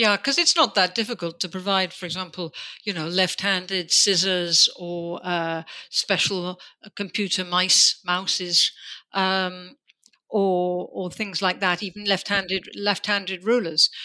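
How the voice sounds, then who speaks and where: Her bright, sharp tone sits at a medium pitch for a woman, delivered with monotone, flat intonation at a fairly slow pace on a very clean recording with a silent background. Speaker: podcast host. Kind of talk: interview, conversational.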